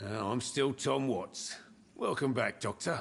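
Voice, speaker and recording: At a fairly slow pace, a raspy, put-on character voice delivers the lines. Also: man, medium pitch for a man. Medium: video game. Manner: warm, polite.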